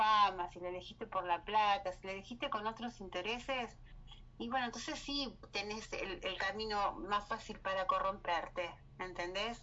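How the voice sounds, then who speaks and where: A woman speaks with a Rioplatense accent. Her pitch is fairly high and her pace moderate. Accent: Argentine Rioplatense Spanish. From Argentina. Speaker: writer and cultural promoter. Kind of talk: casual interview. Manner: halting, with many fillers.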